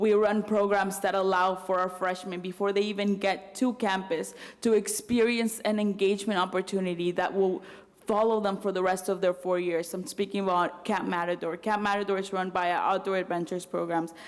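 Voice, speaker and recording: Speaking at a fairly quick pace, a woman with a Spanish accent keeps a medium pitch and monotone, flat intonation. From Mexico City, then US from age ten. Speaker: student body president. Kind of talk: speech at campus event.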